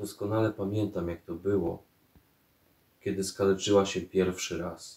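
Somewhat breathy and fairly low, a man speaks at a fairly slow pace with flat, monotone intonation and audible room echo. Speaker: poet. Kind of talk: poetry reading. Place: home room.

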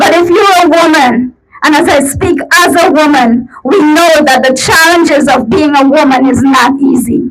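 Her loudness very even, a woman with a high pitch talks with ordinary pitch variation. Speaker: rally speaker, domestic violence survivor. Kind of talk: rally speech. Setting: outdoor protest rally. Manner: earnest, passionate.

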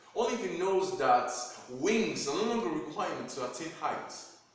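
A man with a high voice speaks in a room with strong echo. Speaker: spoken word poet. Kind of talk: spoken word poetry performance. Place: home room. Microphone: camera far.

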